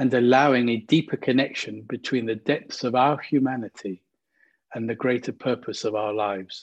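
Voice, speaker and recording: Fairly even intonation in a plain, everyday voice. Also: man, medium pitch for a man. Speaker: meditation guide. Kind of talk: guided meditation. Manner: slow, gentle, calm; soothing, soft-spoken, with long pauses.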